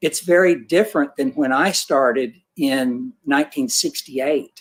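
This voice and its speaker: A man talks at a fairly slow pace in a normal speaking voice. His intonation is lively. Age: 60s. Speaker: portrait photographer. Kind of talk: panel discussion. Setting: livestream.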